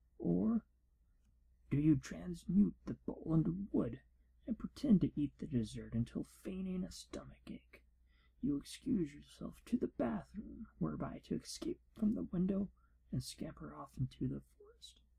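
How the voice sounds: A man puts on a character voice, high-pitched with big pitch swings, a husky, rough edge and vocal fry. His tone is dark and mellow, and his pace is moderate.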